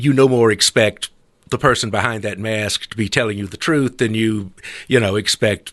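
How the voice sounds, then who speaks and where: A man talks with a Southern US accent. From US South, South Carolina. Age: 70s. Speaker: retired editorial cartoonist. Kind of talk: interview conversation.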